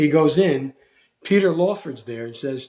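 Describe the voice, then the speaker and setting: With a Philadelphia accent, a man speaks with lively intonation in a dark, mellow tone. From US Northeast, South Philadelphia. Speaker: actor. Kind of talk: casual chat.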